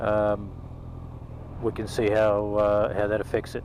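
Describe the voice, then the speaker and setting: Speaking with an Australian accent, a man talks in a fairly low voice. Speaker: motovlogger. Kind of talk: casual vlog monologue. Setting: on a motorcycle, in helmet. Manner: loud; halting, many ums. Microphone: helmet camera mic, crackling when loud.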